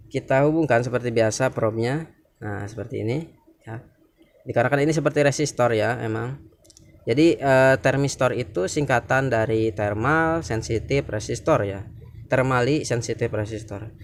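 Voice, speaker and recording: Medium in pitch, a man talks at a moderate pace with ordinary pitch variation. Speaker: electronics hobbyist YouTuber. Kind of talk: tutorial. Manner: halting, with many fillers.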